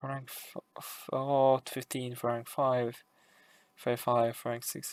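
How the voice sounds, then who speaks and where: A man's medium-pitched voice at a very slow pace, monotone and flat, with big swings in loudness and a dry, close sound with no echo. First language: Hungarian. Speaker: gaming YouTuber. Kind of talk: casual commentary review.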